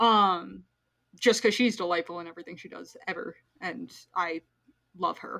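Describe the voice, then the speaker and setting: This woman's tone is bright, sharp and animated, at a moderate pace. The recording is very clean, with a silent background. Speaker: podcast host, co-professor. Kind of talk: casual comedic movie discussion podcast. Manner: animated, excitable.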